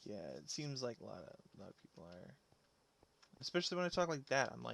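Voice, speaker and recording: A soft-spoken man at a very fast pace, with big swings in loudness. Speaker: gaming streamer. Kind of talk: live gameplay commentary. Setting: live stream. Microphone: mic maxed out on settings, quiet.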